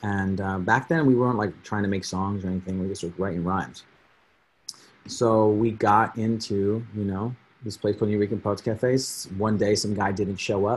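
This man has a plain, everyday voice, speaking at a moderate pace in a fairly low pitch with fairly even intonation. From New Jersey (Edison). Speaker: rapper. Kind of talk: casual chat.

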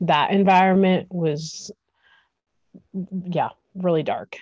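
Against a quiet background, a woman with an American accent speaks very slowly with fairly even intonation. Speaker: entrepreneur. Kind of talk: interview. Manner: hesitant, many fillers.

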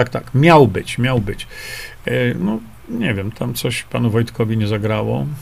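A man with a medium-pitched voice talks fairly slowly. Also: ordinary pitch variation. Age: 60s. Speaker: independent journalist and health author. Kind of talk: live stream talk reading viewer comments. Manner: hesitant with fillers.

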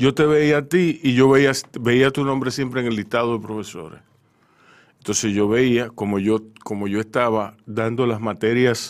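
Recorded very cleanly against a silent background, a man with medium pitch and ordinary pitch variation speaks at a fairly slow pace in an unremarkable speaking voice. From Dominican Republic, Santo Domingo. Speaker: radio host. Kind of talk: radio interview. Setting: radio studio.

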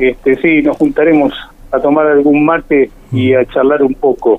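A man's fairly high, plain, everyday voice at a moderate pace with ordinary pitch variation. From Buenos Aires province, Argentina. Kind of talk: radio interview. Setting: phone call.

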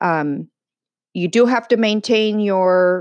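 A woman with a Californian accent speaks with ordinary pitch variation. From San Diego, California. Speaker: podcast host. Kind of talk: casual chat.

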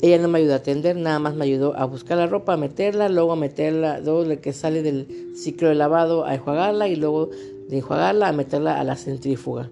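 A woman speaks at a very fast pace with a Mexican accent, her pitch very deep and low. Music plays in the background, and her pitch variation is ordinary. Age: 30s. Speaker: podcaster with fibromyalgia. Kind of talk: personal vlog monologue.

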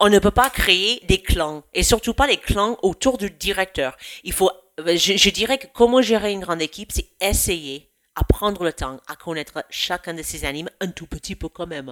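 A woman with an American accent speaks at a fairly slow pace in a medium pitch, her bright, sharp tone carrying lively intonation in a dry, close sound with no echo. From United States. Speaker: youth camp program director. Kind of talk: podcast interview.

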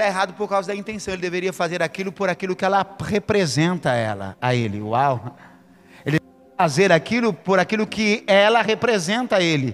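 A man talks at a fairly quick clip in a high voice, his intonation lively and his loudness swinging widely, with music playing behind him. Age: 40s. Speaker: pastor. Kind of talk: sermon.

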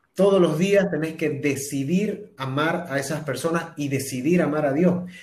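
The voice keeps a moderate pace. Room echo can be heard around it. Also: man. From Bolivia, Santa Cruz. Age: 30s. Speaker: singer-songwriter and TV presenter. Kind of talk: interview testimony. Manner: halting with repetitions.

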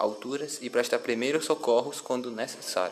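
There is noticeable background noise as a man talks with fairly even intonation. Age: 20s. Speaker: civil firefighter. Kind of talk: interview. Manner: formal.

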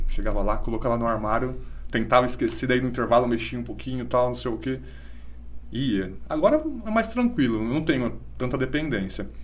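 A man talks at a fairly quick pace, and audible room echo can be heard around his words. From Brazil, Bariri (São Paulo state). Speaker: schoolteacher. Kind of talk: casual chat. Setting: live-streamed podcast.

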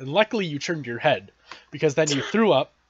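This man has an ordinary speaking voice, fairly high in pitch, with ordinary pitch variation and an American accent. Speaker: podcast host. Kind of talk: casual interview chat.

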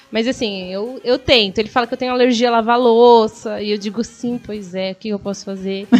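Over background music, a woman speaks at a fairly quick pace with hardly any pauses, fairly even intonation and a fairly high pitch. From São Paulo state, Brazil (Guarulhos). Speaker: stand-up comedian. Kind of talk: casual interview chat. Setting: live radio/online stream.

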